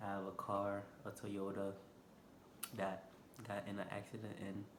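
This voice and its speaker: A man with a Haitian accent speaks at a fairly slow pace in a fairly low pitch. Noticeable background noise and audible room echo surround him. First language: Haitian Creole. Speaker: vlogger. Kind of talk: casual vlog monologue. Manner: unscripted, hesitant with fillers.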